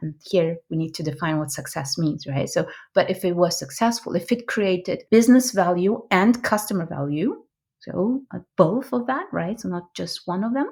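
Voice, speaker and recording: On a very clean recording with a silent background, a woman with a non-native accent speaks at a moderate pace in a medium pitch, somewhat breathy, with lively intonation. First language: not English. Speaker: product management coach and trainer. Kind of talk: interview. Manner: halting.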